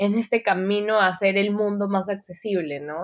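A woman's normal speaking voice at medium pitch, at a fairly slow pace. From Peru. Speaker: UX designer. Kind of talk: interview.

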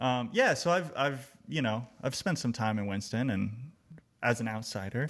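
This man has a plain, everyday voice with an American accent, medium pitch and ordinary pitch variation. He speaks at a moderate pace on a very clean recording with a silent background. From Texas, Austin. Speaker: songwriter and music educator. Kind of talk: casual chat.

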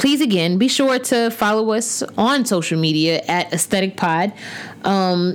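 Lively intonation from a woman, with noticeable background noise behind. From US South, Huntsville, Alabama. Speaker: podcast host, visual artist and art teacher. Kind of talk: casual monologue. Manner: animated.

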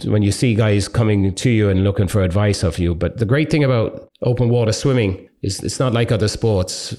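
Speaking at a fairly quick pace, a man with an Irish accent has a dark, mellow tone. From Ireland. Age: 50s. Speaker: long distance endurance swimmer. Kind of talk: interview by school pupils.

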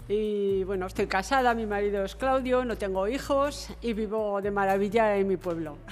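A woman with ordinary pitch variation and hardly any pauses, amid audible room echo. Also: medium pitch for a woman, moderate pace. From Murchante, Navarra, Spain. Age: 70s. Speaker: retired bank employee. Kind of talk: casual group conversation.

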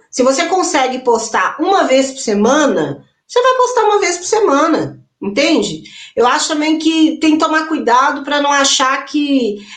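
Audible room echo surrounds a high-pitched woman who speaks at a fairly slow pace with lively intonation. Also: very even loudness. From interior of Minas Gerais, Brazil. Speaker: singer, actress and songwriter. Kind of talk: panel discussion.

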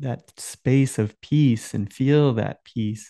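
A man's very slow delivery at a medium pitch, dark and mellow in tone, with ordinary pitch variation, a dry, close sound with no echo and a quiet background. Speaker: meditation guide and co-host. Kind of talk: casual conversation about meditation and spirituality. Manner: calm, guiding tone.

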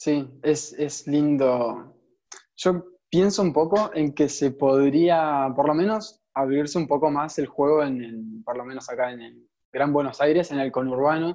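Against a quiet background, a man with a fairly high pitch and a dark, mellow tone talks at a fairly slow pace, with ordinary pitch variation and big swings in loudness. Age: young. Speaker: podcast host. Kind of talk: interview conversation.

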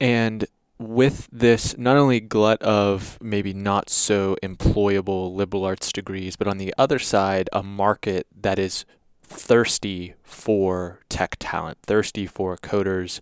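A man talks at a very slow pace in a fairly low pitch. The recording is very clean with a silent background and a dry, close sound with no echo. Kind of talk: interview conversation.

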